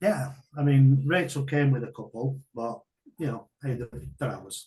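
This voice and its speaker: Speaking at a moderate pace with a northern English accent, a man with a fairly high voice shows ordinary pitch variation, a somewhat breathy, dark, mellow tone and big swings in loudness. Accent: northern English (Greater Manchester). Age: 60s. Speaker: martial arts coach and business owner. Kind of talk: interview testimony. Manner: halting.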